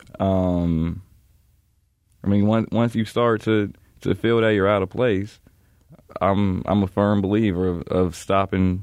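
A man speaks with long, frequent pauses. His loudness stays very even and his intonation fairly even. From Chicago. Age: young. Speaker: college student. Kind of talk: casual interview.

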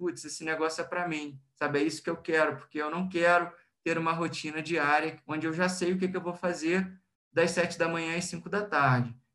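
A man with a Brazilian accent speaks at a moderate pace in a high voice for a man, his intonation fairly even and his tone bright and sharp. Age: 20s. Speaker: industrial plant manager. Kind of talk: interview.

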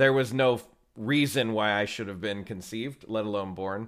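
A man with an American accent and a fairly low pitch, ordinary pitch variation, on a very clean recording with a silent background. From Texas. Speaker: improv teacher. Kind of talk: casual interview.

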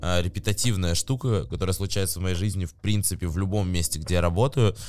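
There is music in the background as a man speaks with ordinary pitch variation. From Novosibirsk, Siberia, Russia. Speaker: advertising agency executive. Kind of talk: casual interview chat.

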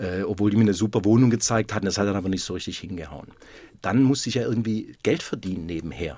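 Racing at a very fast pace, a man's fairly low voice carries a dark, mellow tone and ordinary pitch variation. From Württemberg, near Stuttgart. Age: 50s. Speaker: basketball club manager. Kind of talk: radio interview.

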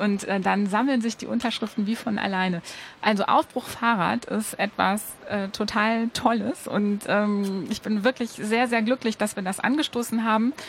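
A woman talks at a fairly high pitch while noticeable background noise is heard. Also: moderate pace. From Ruhr area, Germany. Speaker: cycling advocate. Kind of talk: radio interview. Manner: animated.

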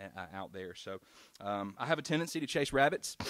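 With an American accent, a man talks at a fairly low pitch. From South Carolina, US South. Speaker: street evangelist and anti-abortion activist. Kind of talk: reading prepared remarks; church testimony and ministry talk. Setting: church service. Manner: hesitant, many fillers.

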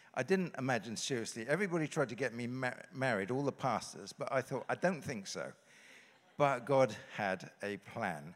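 In a very clean recording with a silent background, a man with a British accent talks at a moderate pace, his medium pitch carrying lively intonation. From England. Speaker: pastor.

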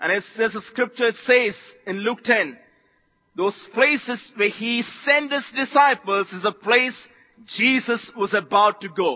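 With an Indian accent, a man talks in an animated tone at an extremely high pitch with ordinary variation. His pace is fairly slow. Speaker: visiting preacher. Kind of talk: sermon. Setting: church conference with live audience. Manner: animated, call-and-response, exhorting the crowd; jovial, laughs often.

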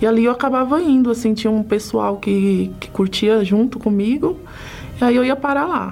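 A woman's fairly high voice with ordinary pitch variation at a moderate pace, noticeable background noise behind it. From Brazil, São Paulo. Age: 30s. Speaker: church member. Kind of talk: testimony.

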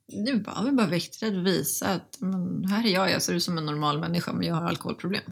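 Speaking very fast with hardly any pauses, a woman holds a very even loudness in a fairly low voice, with noticeable background noise behind her. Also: ordinary pitch variation. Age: 30s. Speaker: recovering alcoholic, sobriety influencer. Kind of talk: interview testimony.

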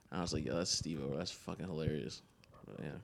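A man's very fast speech with vocal fry and ordinary pitch variation. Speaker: podcast host. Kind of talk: casual chat.

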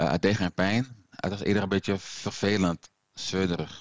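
The sound is dry and close with no echo. A man speaks at a moderate pace. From Suriname heritage. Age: 50s. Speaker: heart attack survivor. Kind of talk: casual conversation. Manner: halting, repeats words.

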